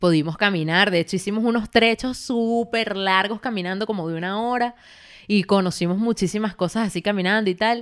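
Recorded very cleanly against a silent background, a woman with a plain, everyday voice speaks at a fairly quick pace, at a medium pitch and with ordinary pitch variation. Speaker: podcast co-host. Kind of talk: casual chat.

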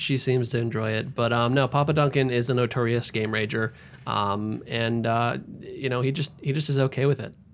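A man with medium pitch and fairly even intonation has an ordinary speaking voice. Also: moderate pace. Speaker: podcast co-host. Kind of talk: casual chat.

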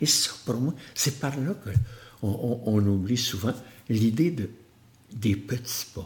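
Very slowly, with long, frequent pauses, a man speaks at medium pitch. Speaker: motivational speaker. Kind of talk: interview conversation.

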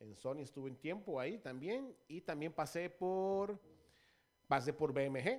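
A man with an ordinary speaking voice talks fairly slowly at a fairly high pitch, his intonation lively and his loudness swinging widely, on a very clean recording with a silent background. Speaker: radio DJ and former record label promoter. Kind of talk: casual interview chat.

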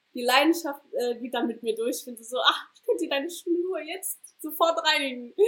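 Speaking at a moderate pace, a woman with a high pitch and a bright, sharp tone uses lively intonation and big swings in loudness. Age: 20s. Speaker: startup founder and student. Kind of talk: casual interview. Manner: hesitant, many fillers.

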